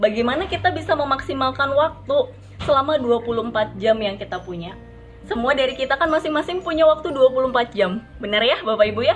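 A woman at a high pitch, lively in intonation, moderate in pace, amid noticeable background noise. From Serang, Banten, Indonesia. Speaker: network marketing trainer. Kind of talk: motivational training talk.

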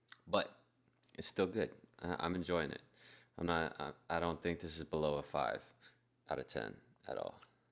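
With vocal fry and a very deep, low pitch, a man talks at a moderate pace in fairly even intonation, leaving long, frequent pauses. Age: 20s. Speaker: podcast co-host, beer reviewer. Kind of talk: casual chat.

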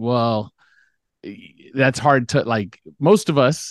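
Against a quiet background, a plain, everyday voice with an American accent and ordinary pitch variation comes through with a dry, close sound and no echo. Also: man. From US West Coast, Los Angeles (Beverly Hills). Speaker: basketball salary cap expert and sportswriter. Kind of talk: casual podcast interview.

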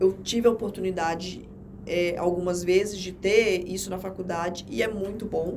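Amid noticeable background noise and audible room echo, a woman speaks at a medium pitch with fairly even intonation and big swings in loudness. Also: moderate pace. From Rondônia, Brazil (Jaru, interior). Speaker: administrative law attorney. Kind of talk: interview, casual chat. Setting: podcast studio.

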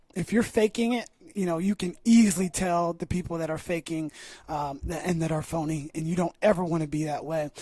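Speaking fairly quickly, a man with a high pitch and a dark, mellow tone shows ordinary pitch variation in a dry, close recording with no echo. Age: 30s. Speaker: youth basketball coach and podcast host. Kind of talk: casual interview.

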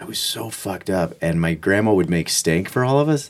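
A man with a normal speaking voice, fairly quick and lively in intonation. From Kansas. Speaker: podcast guest. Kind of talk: casual chat.

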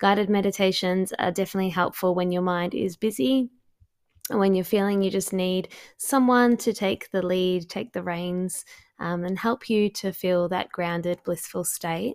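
A woman's ordinary speaking voice, medium in pitch, at a moderate pace with fairly even intonation on a very clean recording with a silent background. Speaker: podcast host and astrologer. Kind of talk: guided meditation.

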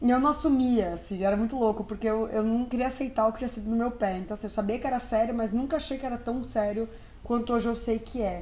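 A woman with a fairly high voice speaks very fast with hardly any pauses and fairly even intonation. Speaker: podcast co-host. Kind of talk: casual chat. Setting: recording at home.

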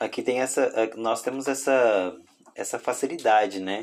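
At a moderate pace, a man talks at a medium pitch. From Brazil, Tocantins. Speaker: podcast host. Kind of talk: casual interview.

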